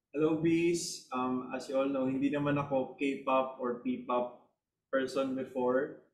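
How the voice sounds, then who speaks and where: Here a man speaks slowly-ish at a medium pitch in a monotone, flat way. Audible room echo and light background noise fill the recording. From Philippines. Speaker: P-pop group member; guest. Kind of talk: interview. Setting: video call. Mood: grateful, warm. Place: home room. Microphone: video call.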